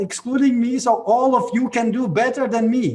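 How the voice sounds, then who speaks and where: A man with a Latvian accent talks at a fairly slow pace. His pitch is extremely high. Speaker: network marketing leader. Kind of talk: motivational talk on a video call. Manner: halting.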